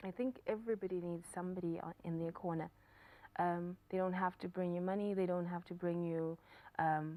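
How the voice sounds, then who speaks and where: Monotone, flat intonation in a dark, mellow tone. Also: woman, fairly low pitch for a woman, fairly quick pace. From South Africa, Johannesburg. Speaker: writer and poet, company founder. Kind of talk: talk show interview. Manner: halting, repeated words.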